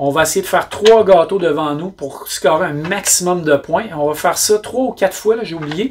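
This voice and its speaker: With a Quebec accent, a man talks at a moderate pace. His voice is high for a man, and its pitch varies in an ordinary way. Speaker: board game reviewer. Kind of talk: casual review monologue. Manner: hesitant fillers.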